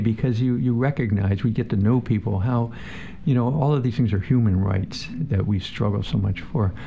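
A man with an American accent and an unremarkable speaking voice, medium in pitch, with ordinary pitch variation at a moderate pace. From northeastern Pennsylvania. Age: 60s. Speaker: city council member. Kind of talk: radio interview.

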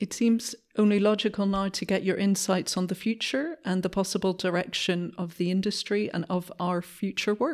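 A plain, everyday voice from a woman, medium in pitch, with ordinary pitch variation, a moderate pace, hardly any pauses, and a very clean recording with a silent background. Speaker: policy advisor. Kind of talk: interview.

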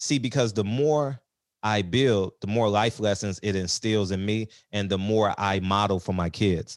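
A man with an American accent talks in a normal speaking voice, fairly low in pitch. His pitch varies in an ordinary way against a quiet background. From South Central Los Angeles. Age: 40s. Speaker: real estate investor. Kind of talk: casual chat.

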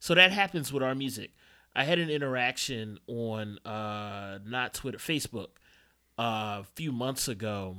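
This man talks at a fairly slow pace with lively intonation and a medium pitch. The recording is very clean, with total silence behind him. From Philadelphia, Northwest (West Oak Lane). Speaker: dj and music writer. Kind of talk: casual chat.

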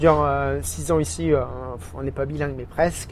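This is a man speaking. He moves at a fairly quick pace. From Burgundy, France. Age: 30s. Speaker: expatriate. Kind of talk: interview. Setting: outdoor café terrace.

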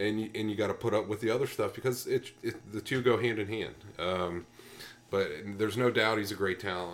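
Here is an ordinary speaking voice at a moderate pace. Its pitch varies in an ordinary way. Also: man. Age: 30s. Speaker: sports podcast co-host. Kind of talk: casual chat.

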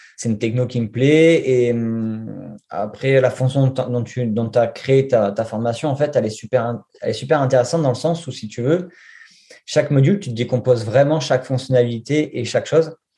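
A man's medium-pitched voice, dark and mellow in tone and somewhat breathy, with ordinary pitch variation and a moderate pace. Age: 40s. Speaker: junior web developer. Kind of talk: interview. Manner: halting.

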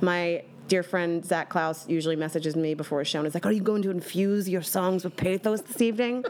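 A woman with an American accent and an ordinary speaking voice, showing ordinary pitch variation. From Bucks County, Pennsylvania. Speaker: cabaret singer. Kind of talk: casual chat.

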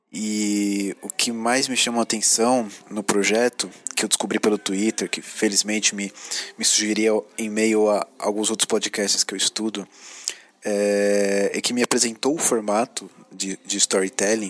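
A man's fairly low, monotone voice moves at a fairly slow pace, sounding dry and close with no echo over noticeable background noise. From São Paulo, Brazil. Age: 30s. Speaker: podcast listener. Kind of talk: recorded voice message. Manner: halting, many fillers.

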